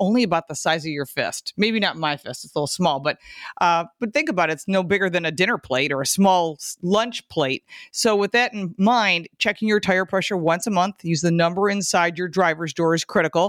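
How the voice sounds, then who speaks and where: With an unremarkable speaking voice, a woman talks at a fairly quick pace and medium pitch, the sound dry and close with no echo. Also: ordinary pitch variation. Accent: American. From Michigan. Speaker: car show co-host, automotive expert. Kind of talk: casual chat. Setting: remote internet call.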